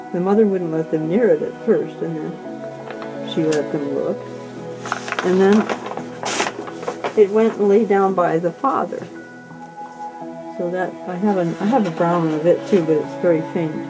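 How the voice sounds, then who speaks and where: Over clear background music, a woman speaks at a fairly slow pace with long, frequent pauses. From California. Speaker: artist, printmaker and ceramicist. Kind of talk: casual talk in her studio about her artwork. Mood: warm, fond. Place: workshop.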